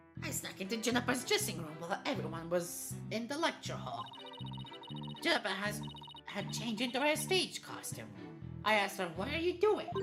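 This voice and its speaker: Someone uses a put-on character voice at a fairly quick pace. Clear music plays in the background. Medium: game stream. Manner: excitable, earnest.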